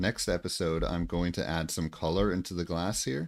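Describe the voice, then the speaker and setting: A man with an American accent speaks at a very deep, low pitch in a very clean recording with a silent background. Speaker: gaming streamer. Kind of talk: casual livestream chat.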